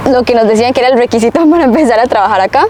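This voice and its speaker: Against noticeable background noise, a woman speaks with a fairly high pitch and lively intonation. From Costa Rica. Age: 20s. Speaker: nurse. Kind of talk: interview.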